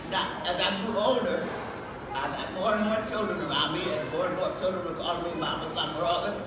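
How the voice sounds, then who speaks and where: A woman talks at a very fast pace amid loud background noise and audible room echo. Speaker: actress. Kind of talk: interview answer. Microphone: camera far.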